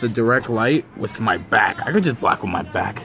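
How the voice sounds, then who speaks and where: A man speaks over noticeable background noise. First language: Spanish. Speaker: streamer, ant keeper. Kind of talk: live stream chat. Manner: casual, slangy.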